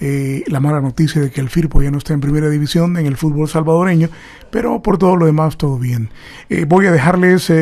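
This man has an unremarkable speaking voice. His pitch is fairly high and his intonation fairly even. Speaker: radio host. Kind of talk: radio sign-off in Spanish.

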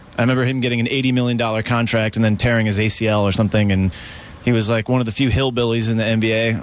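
An American accent marks this man's ordinary speaking voice, pitched at medium level with ordinary variation. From Maryland. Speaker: rock musician. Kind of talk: casual interview.

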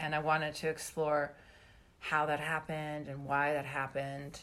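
At a fairly slow pace, a woman speaks in a very deep, low pitch for a woman. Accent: Canadian. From Canada, British Columbia. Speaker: novelist. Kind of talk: interview.

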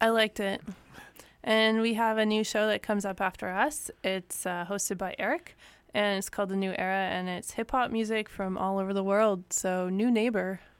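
A woman with an unremarkable speaking voice talks at a moderate pace and medium pitch, her intonation fairly even. The recording is very clean, with a silent background. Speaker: radio host. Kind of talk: casual chat. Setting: studio.

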